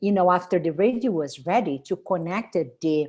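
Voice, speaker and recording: A woman with a Brazilian Portuguese accent and a medium-pitched voice swings very widely in pitch, in a very clean recording with a silent background. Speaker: spiritual tour leader and wellness presenter. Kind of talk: product presentation. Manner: halting.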